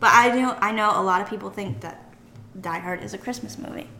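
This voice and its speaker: Noticeable background noise runs throughout the recording. Over it, a woman speaks at a fairly quick pace. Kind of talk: casual chat.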